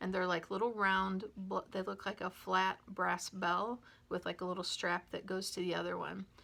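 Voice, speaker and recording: At a moderate pace, a woman with a medium pitch speaks in a monotone, flat intonation, her bright, sharp tone edged with vocal fry. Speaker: metaphysical shop staff presenting a video series. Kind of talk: casual instructional talk to camera. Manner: casual with many fillers.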